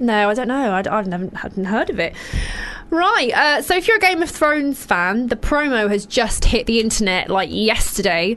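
A woman with a British accent talks at a moderate pace in a fairly high voice, against noticeable background noise. Her tone is animated, and her pitch swings very widely. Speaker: radio host. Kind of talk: casual chat. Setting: studio.

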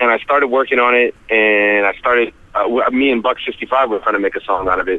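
A man with an American accent at a moderate pace. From US, Rhode Island. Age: 30s. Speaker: rapper. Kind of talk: interview. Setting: phone call.

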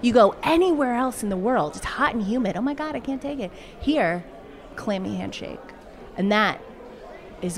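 A woman with an American accent talks at a moderate pace, her pitch swinging very widely. She leaves long, frequent pauses over noticeable background noise. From US Northeast, Massachusetts. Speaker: guest. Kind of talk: casual chat. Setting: pub.

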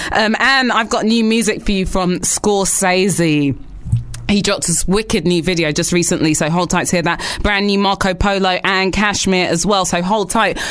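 An unremarkable speaking voice at a moderate pace, with ordinary pitch variation and very even loudness. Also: woman, medium pitch for a woman. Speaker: radio host. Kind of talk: radio show banter. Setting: studio.

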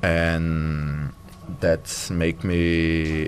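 Portuguese-accented speech over noticeable background noise. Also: man. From Brazil, Fortaleza (northeast). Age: 20s. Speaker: professional tennis player. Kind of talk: interview. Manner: halting, many fillers and repetitions.

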